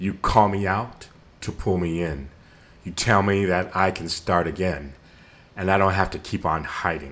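At a fairly slow pace, a man speaks with a very deep, low pitch and a bright, sharp tone. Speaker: podcast host and spoken word poet. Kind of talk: spoken word poetry performance, slam style. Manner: emphatic, rhythmic, impassioned delivery; warm, inspirational.

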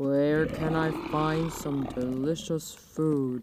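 A growling put-on character voice at a middle pitch drags along at a very slow pace with monotone, flat intonation.

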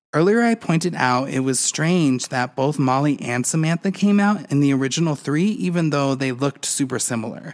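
A man with a normal speaking voice and a fairly high pitch talks at a fairly quick pace with hardly any pauses, lively intonation and very even loudness. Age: 30s. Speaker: podcast host and doll collector. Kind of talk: solo podcast monologue.

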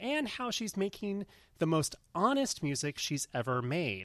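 A man at a moderate pace, very wide pitch swings, dry, close sound with no echo, and a very clean recording over a silent background. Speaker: podcast host. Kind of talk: casual chat. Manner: energetic.

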